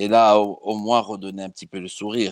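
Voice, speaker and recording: A man with a Corsican accent talks at a moderate pace. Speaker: football fan. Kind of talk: casual chat.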